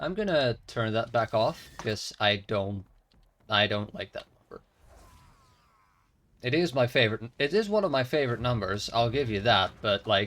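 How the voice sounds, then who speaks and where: With a Dutch accent, a man speaks at a medium pitch and a moderate pace, using ordinary pitch variation and long, frequent pauses. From Netherlands. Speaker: video game streamer. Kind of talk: casual live-stream chat. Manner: halting.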